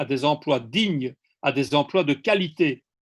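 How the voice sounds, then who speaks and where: This man's voice sits at a fairly high pitch and shows ordinary pitch variation. Nothing can be heard behind him. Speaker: ecosocialist speaker. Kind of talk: seminar talk. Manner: slow.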